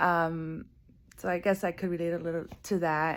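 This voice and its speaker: This woman speaks with a Spanish accent at a fairly low pitch. The recording is very clean, with a silent background. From US, born in Guatemala, moved at age five. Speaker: coffee farmer and former soccer media worker. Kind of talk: personal video monologue. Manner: casual with fillers.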